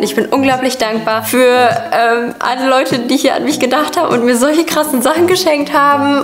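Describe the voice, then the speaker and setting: Audible room echo and light background noise surround a woman who speaks at a fairly quick pace in a high pitch with ordinary pitch variation. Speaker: video creator. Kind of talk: casual vlog chat. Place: home room.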